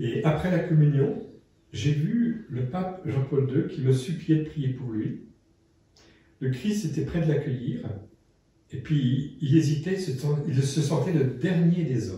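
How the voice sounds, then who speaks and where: A man with a fairly high, somewhat breathy voice and a dark, mellow tone talks very slowly with lively intonation and long, frequent pauses, amid audible room echo. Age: 60s. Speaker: priest and interviewer. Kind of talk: casual conversation.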